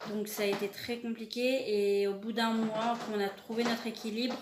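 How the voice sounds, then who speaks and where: A woman's monotone, flat delivery at a moderate pace, with audible room echo and noticeable background noise. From France (Paris). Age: 20s. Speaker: animal vlogger. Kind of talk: casual self-introduction vlog. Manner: halting, many hesitations; searching for words, repetitive.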